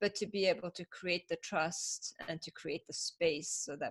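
Speaking fairly slowly with a Persian accent, a woman is heard in a dry, close sound with no echo. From Iran (Tehran), then Northern California from 13. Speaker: business owner and facilitator. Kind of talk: interview. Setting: call.

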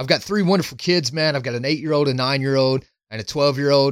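A man with an unremarkable speaking voice talks at a fairly quick pace. His pitch is fairly high, and the recording is very clean with a silent background. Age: 30s. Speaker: men's coach. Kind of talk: casual chat.

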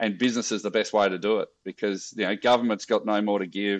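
Over a quiet background, a man speaks fairly quickly in an Australian accent. His pitch is fairly low, and his intonation is monotone and flat. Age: 50s. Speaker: social enterprise founder. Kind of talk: casual interview.

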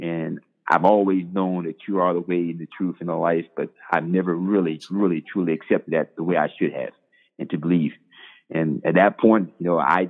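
A man with a North Carolina accent, very deep and low in pitch, in a flat monotone at a moderate pace. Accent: US Southern, North Carolina. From eastern North Carolina, Bladenboro. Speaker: football coach. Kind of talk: interview, testimony.

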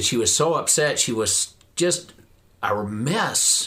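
A man with a slight rural Western US accent, a bright, sharp tone, lively intonation, and a fairly slow pace. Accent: slight Western US rural twang. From southern Idaho. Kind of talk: casual interview conversation.

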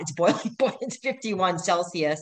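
Speaking at a moderate pace, a woman has an ordinary speaking voice with a fairly low pitch. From Middle East, born in Canada. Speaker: ultra-endurance racer. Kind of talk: interview.

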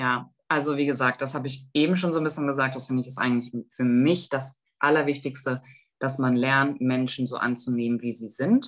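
Her pitch is very deep and low for a woman. She moves along at a fairly quick pace. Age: 40s. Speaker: youth volunteer program coordinator. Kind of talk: interview.

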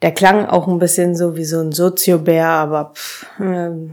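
A woman speaks at a fairly low pitch. Her pace is very slow. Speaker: podcast host. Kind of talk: unscripted solo monologue. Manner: agitated.

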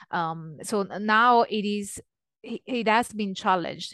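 A woman with an Italian accent, fairly slow pace, ordinary pitch variation, dry and close sound with no echo, and a quiet background. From Italy. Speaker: religious studies scholar. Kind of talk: interview conversation.

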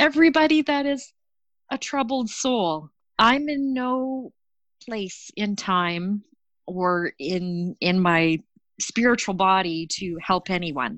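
Speaking at a very slow pace, a woman's voice moves through very wide pitch swings. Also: medium pitch for a woman. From Canada. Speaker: storyteller sharing a personal mental health story. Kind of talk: personal testimony.

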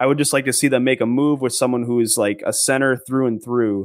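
On a very clean recording with a silent background, a man with an American accent talks at a medium pitch with fairly even intonation. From Minnesota. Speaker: sports writer. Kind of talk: casual chat.

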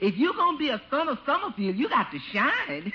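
Using a put-on character voice, a woman speaks in a high pitch with a bright, sharp tone and big pitch swings. Her pace is fairly quick, with faint background noise.

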